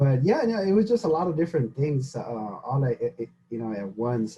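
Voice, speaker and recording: A man's somewhat breathy, dark, mellow voice at a fairly high pitch and fairly quick pace, with very wide pitch swings and big swings in loudness. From Mexico (Zacatecas), then Dallas from age six. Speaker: podcast co-host. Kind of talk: casual chat. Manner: fast when nervous.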